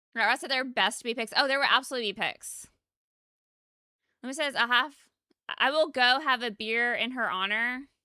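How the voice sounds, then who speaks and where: An American accent from a woman with a high pitch, an animated, bright, sharp tone and long, frequent pauses, on a very clean recording with a silent background. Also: fairly quick pace. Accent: Southern US, mostly masked. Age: 30s. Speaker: game streamer. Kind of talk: casual livestream chat.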